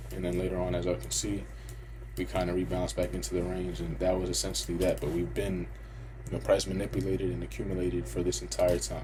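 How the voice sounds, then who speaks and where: A man's very deep, low voice at a very fast pace with very wide pitch swings, audible room echo and noticeable background noise. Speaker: trading educator. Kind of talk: tutorial. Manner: casual.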